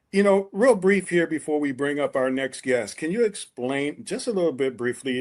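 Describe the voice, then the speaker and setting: Against a quiet background, a man with an unremarkable speaking voice talks with lively intonation. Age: 60s. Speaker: podcast co-host. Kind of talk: casual chat.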